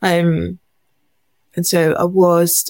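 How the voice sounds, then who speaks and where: A woman's fairly low-pitched voice in a very clean recording with a silent background. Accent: English. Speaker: charity founder. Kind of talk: testimony.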